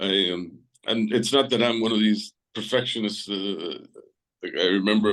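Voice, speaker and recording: A man with a Spanish accent, medium in pitch. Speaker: artist and poet. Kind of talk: interview. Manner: halting.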